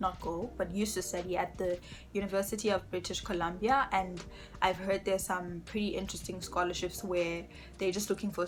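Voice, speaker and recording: A woman speaks at a moderate pace in a fairly low pitch with monotone, flat intonation, music playing in the background. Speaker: youtuber and international student in Canada. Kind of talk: tutorial. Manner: casual, with frequent um fillers.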